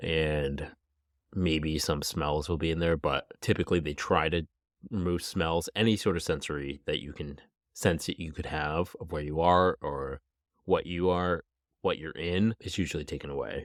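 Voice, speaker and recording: Moderate-paced speech from a man, very deep and low in pitch, with fairly even intonation. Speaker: true crime podcast host. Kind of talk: podcast storytelling. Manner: casual, conversational.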